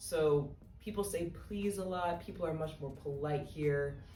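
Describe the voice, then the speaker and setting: An American accent with fairly even intonation, set against noticeable background noise and audible room echo. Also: woman. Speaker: vlogger, study abroad student. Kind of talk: casual vlog talk. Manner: casual, many fillers.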